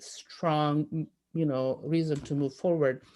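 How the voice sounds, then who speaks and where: A very deep, low-pitched woman's voice in an Italian accent. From Italy, rural conservative region. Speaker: telecoms industry analyst and panelist. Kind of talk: panel discussion. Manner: halting, many fillers.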